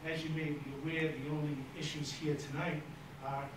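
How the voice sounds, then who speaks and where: Amid noticeable background noise and audible room echo, a man speaks at a moderate pace with monotone, flat intonation. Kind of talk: formal presentation to a board. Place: meeting room.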